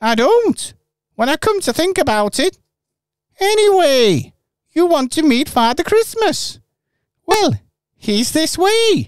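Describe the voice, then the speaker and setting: This put-on character voice is high in pitch, with very wide pitch swings. It moves at a fairly slow pace with long, frequent pauses. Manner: chummy, casual.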